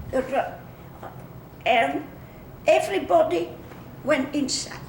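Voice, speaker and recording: Speaking very slowly in a Flemish accent, a high-pitched woman uses lively intonation, with noticeable background noise and audible room echo. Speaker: war-era civilian interviewee. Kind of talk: oral history interview. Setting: museum.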